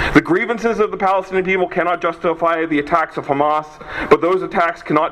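Over noticeable background noise, a man with a high pitch talks at a very fast pace with lively intonation. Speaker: law student. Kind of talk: formal rally speech. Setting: outdoor rally with crowd. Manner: formal, measured, legalistic.

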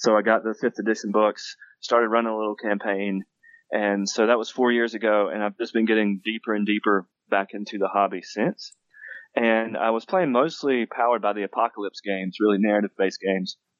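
A man with an Appalachian accent talks at a fairly quick pace, his fairly low voice held to fairly even intonation. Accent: Appalachian Southern US. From US South, western North Carolina (Appalachia). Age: 40s. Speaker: game author and university teacher. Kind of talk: interview. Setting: phone call.

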